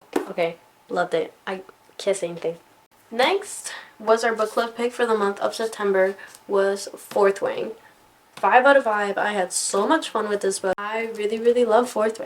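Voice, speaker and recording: A woman's fairly high voice shows ordinary pitch variation, with noticeable noise in the background. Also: moderate pace. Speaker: book reviewer. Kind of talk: casual talk to camera. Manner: enthusiastic.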